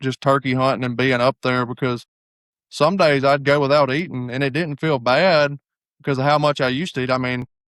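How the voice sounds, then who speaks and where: A man speaks at medium pitch with fairly even intonation. The sound is dry and close with no echo, on a very clean recording with a silent background. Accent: Southern US. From US South. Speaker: hunting guide and former college football player. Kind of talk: casual chat.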